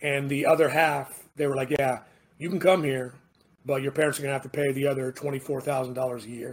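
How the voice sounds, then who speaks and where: Somewhat breathy, this voice holds a monotone, flat intonation throughout. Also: man, fairly high pitch for a man, moderate pace. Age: 40s. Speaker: navy veteran. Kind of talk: casual chat. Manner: halting.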